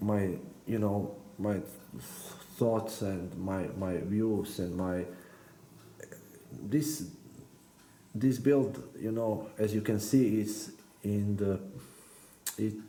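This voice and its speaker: A dark, mellow tone at a very slow pace, with ordinary pitch variation, long, frequent pauses and audible room echo. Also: man, fairly low pitch for a man. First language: not English. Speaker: RC car hobbyist YouTuber. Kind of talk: build tutorial. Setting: workbench. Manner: halting, many hesitations and repeated words.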